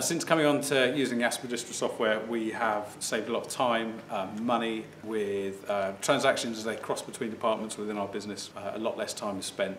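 Over faint background noise, a man talks at a fairly quick pace with few pauses, his fairly low pitch, fairly bright tone and fairly even intonation holding throughout.

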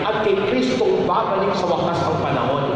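Strong room echo and noticeable background noise surround a man speaking at a high pitch. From Philippines. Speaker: priest. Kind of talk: Christmas Eve homily, preachy and exhortative with call-and-response. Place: church. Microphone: pa.

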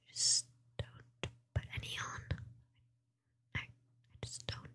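A soft-spoken woman whispering at a very slow pace. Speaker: ASMR streamer. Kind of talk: soft-spoken ASMR chat. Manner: soft intimate ASMR whisper. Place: home room. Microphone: studio mic.

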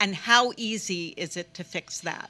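At a fairly slow pace, a woman speaks in a bright, sharp tone with ordinary pitch variation. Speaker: speaker. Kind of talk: panel talk. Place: cafe. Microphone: handheld.

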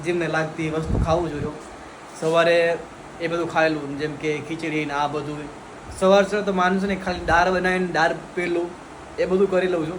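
A man speaks at a high pitch in a monotone, flat intonation. Noticeable background noise and audible room echo are in the recording. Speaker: vlogger. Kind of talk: casual vlog narration.

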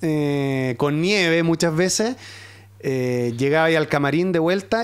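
Lively intonation carries the fairly slow speech against a quiet background. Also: man. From southern Chile, Osorno; southern Chile. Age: 40s. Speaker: sports journalist. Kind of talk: casual chat. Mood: relaxed, animated storytelling. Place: studio. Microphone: studio mic.

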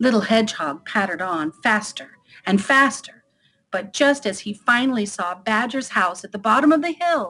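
It is a natural reading voice with lively intonation. The background is quiet.

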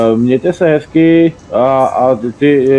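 Noticeable background noise is present. Over it, a man talks with ordinary pitch variation. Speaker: online gamer. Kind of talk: casual gaming chat.

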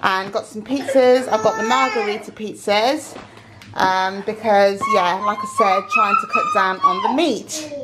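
Loud background noise accompanies a woman speaking at a fairly slow pace. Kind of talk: casual vlog chat. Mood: relaxed, chatty. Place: home room. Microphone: phone near.

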